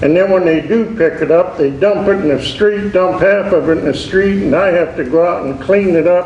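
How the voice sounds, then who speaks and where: Amid noticeable background noise and audible room echo, a man speaks in a high voice with fairly even intonation. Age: 70s. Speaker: resident speaking at public comment. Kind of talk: public comment at council meeting.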